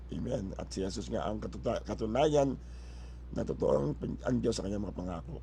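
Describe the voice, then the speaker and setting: Audible room echo follows a man as he speaks at a moderate pace. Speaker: pastor. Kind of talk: sermon. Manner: halting, many fillers and restarts.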